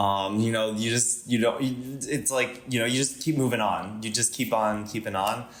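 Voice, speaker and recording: Room echo is audible as a man talks at a medium pitch and a moderate pace, with fairly even intonation and hardly any pauses. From Panama and US (military moves). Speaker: podcast guest. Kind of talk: casual interview chat. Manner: hesitant, many fillers.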